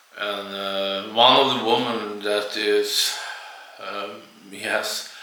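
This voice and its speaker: With a non-native accent, a man speaks very slowly in a fairly low, monotone, flat voice with big swings in loudness, amid audible room echo and noticeable background noise. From Sweden. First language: Swedish. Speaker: YouTuber, ex-Jehovah's Witness. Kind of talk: personal video monologue. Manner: halting, many fillers.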